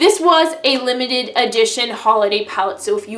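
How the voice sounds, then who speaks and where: The speech moves at a fairly quick pace. Room echo is audible, and there is noticeable background noise. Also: woman. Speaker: beauty vlogger. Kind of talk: casual product review monologue. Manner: fast; animated.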